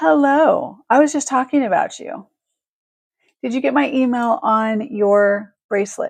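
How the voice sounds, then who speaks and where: A woman's high voice with a West Coast accent, lively intonation and a fairly slow pace. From Northern California. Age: 50s. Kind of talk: live shopping stream. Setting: live video stream.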